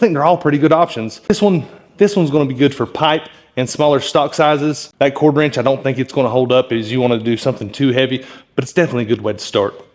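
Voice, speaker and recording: This man talks at a very fast pace in a fairly high pitch, with ordinary pitch variation. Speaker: blacksmith. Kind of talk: tutorial. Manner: casual.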